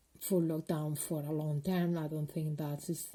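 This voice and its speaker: With a Spanish accent, a woman speaks at a moderate pace in a very deep, low pitch with a dark, mellow tone, some breathiness and fairly even intonation. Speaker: video blogger. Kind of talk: personal vlog monologue. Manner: halting, many fillers.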